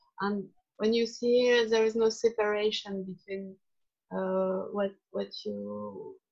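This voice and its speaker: In a non-native accent, a woman speaks at a very slow pace. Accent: charming foreign. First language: not English. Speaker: workshop participant. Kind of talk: group discussion. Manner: halting.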